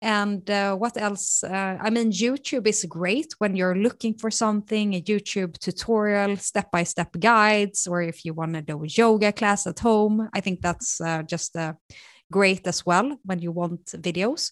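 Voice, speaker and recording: A woman with a Swedish accent speaks at a fairly slow pace and medium pitch with ordinary pitch variation, in a dry, close sound with no echo and a quiet background. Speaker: marketing executive. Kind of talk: interview.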